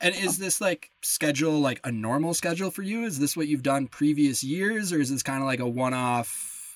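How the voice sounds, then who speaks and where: In a Midwestern US accent, the speaker moves at a moderate pace with lively intonation and hardly any pauses. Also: man. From Lake Geneva, Wisconsin. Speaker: podcast host. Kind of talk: casual interview chat.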